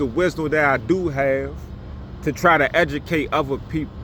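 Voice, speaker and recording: Noticeable background noise sits behind this recording. The man talks at a fairly slow pace. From Washington DC. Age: 40s. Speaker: YouTuber, former prisoner. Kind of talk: casual storytelling monologue. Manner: casual, repetitive with fillers.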